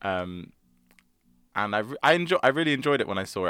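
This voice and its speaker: A man with a London accent speaks in a fairly low voice over music in the background. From South London. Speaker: musical theatre actor. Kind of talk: interview.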